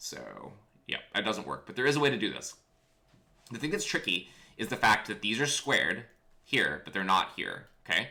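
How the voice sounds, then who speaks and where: A man with an animated, bright, sharp tone and vocal fry, broken by long, frequent pauses. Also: medium pitch for a man, lively intonation. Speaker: physics teacher. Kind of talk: lecture. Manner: casual, animated; fast.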